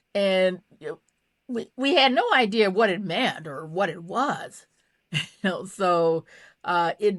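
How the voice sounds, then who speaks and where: With a Mississippi accent, a woman speaks at a fairly slow pace and ordinary pitch variation in a very clean recording with a silent background. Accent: Southern US, Mississippi. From US South, Mississippi. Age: 60s. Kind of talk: interview. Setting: podcast. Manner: halting, many repeated words and fillers.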